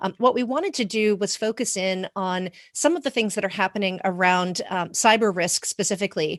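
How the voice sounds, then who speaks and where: Speaking in an American accent at a moderate pace, a woman has a plain, everyday voice of medium pitch with ordinary pitch variation, recorded dry and close with no echo against a quiet background. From US. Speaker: corporate governance executive. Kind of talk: conference presentation.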